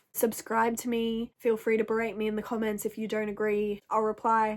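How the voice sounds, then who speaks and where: A loud voice at a moderate pace. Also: woman. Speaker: video creator. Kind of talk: rant to camera.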